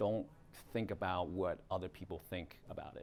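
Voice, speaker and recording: A man speaks with a Chinese accent. His pace is moderate. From Hong Kong, moved to North America at nine. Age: 40s. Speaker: realtor teaching a video marketing class. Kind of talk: workshop lecture. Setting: classroom with small live audience. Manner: casual, conversational.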